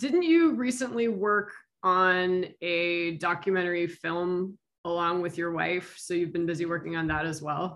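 A woman speaks at a fairly slow pace in a fairly low pitch with ordinary pitch variation. It is a plain, everyday voice. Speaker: interviewer. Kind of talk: casual interview.

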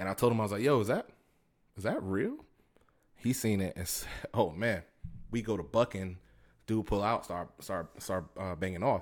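An American-accented man at a moderate pace, fairly low in pitch with ordinary pitch variation and long, frequent pauses. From Tampa, Florida. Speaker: podcast host. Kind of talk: casual monologue. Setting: home recording. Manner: conversational, with fillers.

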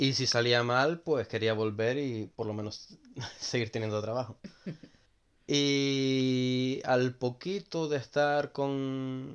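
Pitched in the middle of his range, a man talks in an ordinary speaking voice with fairly even intonation. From Gran Canaria. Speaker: hotel worker. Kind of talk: casual chat.

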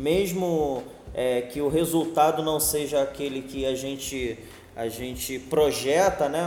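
Over noticeable background noise and audible room echo, a man speaks at a fairly high pitch. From Rio de Janeiro, Ilha do Governador. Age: 30s. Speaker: political candidate and entrepreneur. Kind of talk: podcast interview. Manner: casual, filler-heavy.

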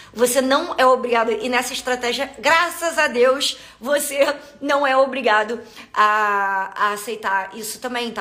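In a Carioca accent, the voice sounds animated, with a bright, sharp tone and lively intonation. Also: woman. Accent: Carioca (Rio de Janeiro) Portuguese. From Rio de Janeiro, Brazil. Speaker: podcast host, business coach for health professionals. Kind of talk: live stream monologue. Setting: live stream on social media.

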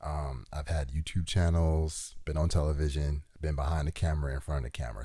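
A man's very deep, low voice, dark and mellow in tone, somewhat breathy and at a fairly quick pace. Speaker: podcast host. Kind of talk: casual chat.

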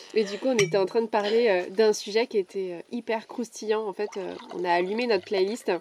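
A woman speaks at a moderate pace with fairly even intonation, in a dry, close recording with no echo and noticeable background noise. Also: fairly high pitch for a woman. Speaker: podcast host and coach. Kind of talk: casual chat. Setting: outdoors.

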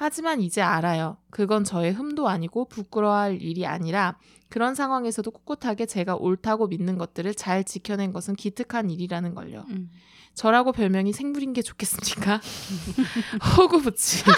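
A woman's medium-pitched, an ordinary speaking voice with lively intonation at a moderate pace, dry and close with no echo, on a very clean recording with a silent background. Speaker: TV writer. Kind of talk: casual chat.

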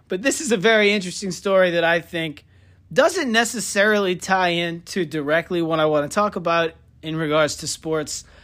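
Over a very clean recording with a silent background, a man talks at a fairly quick pace in a high pitch with ordinary pitch variation. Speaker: sports podcast host. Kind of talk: casual comedic sports talk. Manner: animated.

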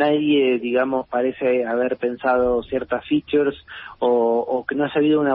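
With an ordinary speaking voice, a man talks at medium pitch and a moderate pace with fairly even intonation. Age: 40s. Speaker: philosopher and writer. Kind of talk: interview.

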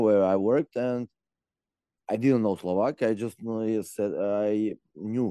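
With a Macedonian accent, a man talks at a fairly slow pace in a fairly low pitch and dark, mellow tone, recorded dry and close with no echo over a quiet background. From North Macedonia. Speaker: expat interviewee. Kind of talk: interview. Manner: laughs often.

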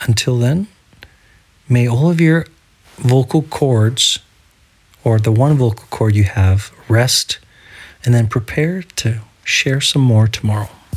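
A man with a medium-pitched, somewhat breathy voice speaks very slowly with ordinary pitch variation and long, frequent pauses. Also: very even loudness. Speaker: solo podcaster. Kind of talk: casual solo audio diary. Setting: home recording without headphones. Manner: holding back on enunciation.

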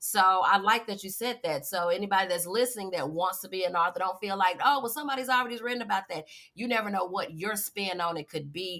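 This woman has an ordinary speaking voice at a medium pitch. She talks at a fairly quick pace with lively intonation. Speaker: podcast host. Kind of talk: casual interview chat.

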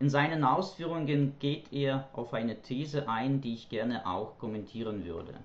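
With noticeable background noise, a man talks at a moderate pace in a medium pitch, his pitch varying in an ordinary way. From Ukraine. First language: Ukrainian or Russian (speaking German). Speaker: German language teacher. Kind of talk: prepared monologue. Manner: formal.

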